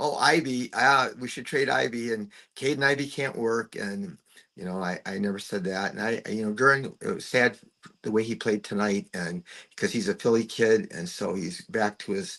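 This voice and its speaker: Man with a bright, sharp tone, lively intonation and a moderate pace. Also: medium pitch for a man. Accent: American. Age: 60s. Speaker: retired basketball coach, podcaster, sports fan. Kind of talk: casual chat. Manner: halting, repeats words.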